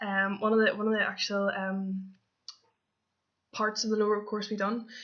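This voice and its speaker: A woman with a Belfast accent, medium in pitch, with monotone, flat intonation. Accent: Northern Irish (Belfast area). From Northern Ireland, near Belfast. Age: 20s. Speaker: camp counsellor applicant. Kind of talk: application video monologue. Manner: hesitant, many fillers.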